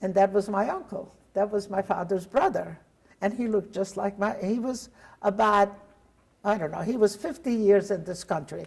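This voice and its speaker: A woman speaks with a Hungarian accent, somewhat breathy. She keeps a moderate pace and ordinary pitch variation. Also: medium pitch for a woman. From Hungary. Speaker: Holocaust survivor. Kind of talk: testimony interview.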